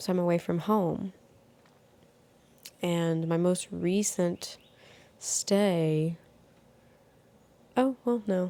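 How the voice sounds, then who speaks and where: Very slowly and with long, frequent pauses, a soft-spoken woman talks in a fairly low pitch with a dark, mellow tone. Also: ordinary pitch variation, very even loudness. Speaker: podcast host. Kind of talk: casual chat. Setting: at home in bed, window open.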